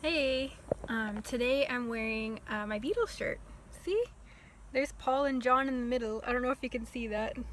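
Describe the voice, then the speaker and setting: At a moderate pace, a woman speaks in a high voice with ordinary pitch variation over noticeable background noise. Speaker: vlogger. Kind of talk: storytime vlog.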